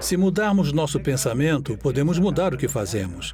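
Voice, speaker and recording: There is noticeable background noise and audible room echo. A man talks with ordinary pitch variation. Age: 60s. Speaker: inmate on parole, woodworker. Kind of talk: testimony. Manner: hesitant, with fillers.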